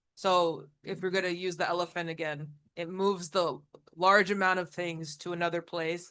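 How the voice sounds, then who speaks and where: A man with a non-native accent speaks loud and high, in a bright, sharp tone with monotone, flat intonation, against a quiet background. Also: moderate pace. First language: not English. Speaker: audience member. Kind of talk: casual discussion.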